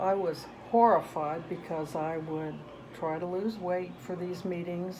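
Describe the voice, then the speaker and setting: A woman's fairly low-pitched voice at a fairly slow pace, with fairly even intonation and audible room echo. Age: 70s. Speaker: grandmother interviewed by grandchild. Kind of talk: casual interview.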